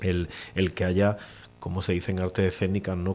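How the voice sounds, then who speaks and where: At a moderate pace, a man with an Andalusian accent speaks at a fairly low pitch. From Cádiz province, Andalusia, Spain. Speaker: poet. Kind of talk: interview answer.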